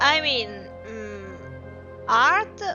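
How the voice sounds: Against faint background music, a woman talks at a very slow pace and fairly high pitch, her tone bright and sharp and her intonation lively.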